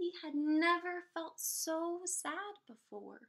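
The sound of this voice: A woman's voice, high in pitch, has a bright, sharp tone.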